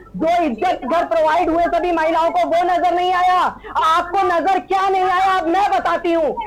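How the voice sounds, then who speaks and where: An extremely high-pitched woman's voice against noticeable background noise. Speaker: political party spokesperson. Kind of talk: heated debate. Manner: loud.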